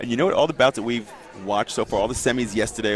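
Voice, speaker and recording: Noticeable background noise sits under a man speaking at a medium pitch. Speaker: wheelchair fencing commentator, former fencer. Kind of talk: live sports commentary. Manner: fast.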